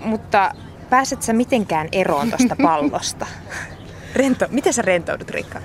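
Over noticeable background noise, a woman with a fairly high pitch speaks at a fairly slow pace, her pitch swinging very widely between long, frequent pauses. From Finland, Kokkola. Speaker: podcast interviewer. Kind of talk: interview.

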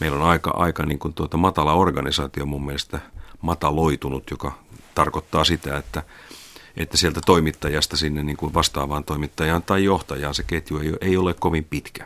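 A man speaks at a moderate pace. His voice is very deep and low, delivered in a flat monotone. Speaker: media executive. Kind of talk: interview.

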